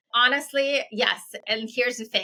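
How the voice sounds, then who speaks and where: A woman speaks with an Eastern European accent at a fairly quick pace. Her tone is bright and sharp. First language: Eastern European language. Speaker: entrepreneur. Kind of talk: interview. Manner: fast; animated.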